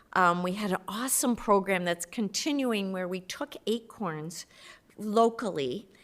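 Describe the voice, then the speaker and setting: Speaking at a fairly slow pace, a woman uses a medium pitch with ordinary pitch variation on a very clean recording with a silent background. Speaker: community volunteer, native gardening group. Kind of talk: public meeting presentation. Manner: loud.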